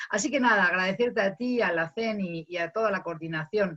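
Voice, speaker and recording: With a Castilian accent, a woman speaks at a moderate pace in a somewhat breathy voice of medium pitch and ordinary pitch variation. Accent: Castilian Spanish, still noticeable. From Spain. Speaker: academic, migration researcher. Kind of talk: panel discussion. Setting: video call.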